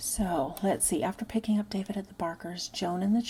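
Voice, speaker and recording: A soft-spoken woman talks at a fairly quick pace with a medium pitch, a dark, mellow tone, vocal fry, and ordinary pitch variation. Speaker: ASMR true crime / unclaimed persons channel host. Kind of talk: soft-spoken ASMR-style true crime narration. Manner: soft-spoken, casual.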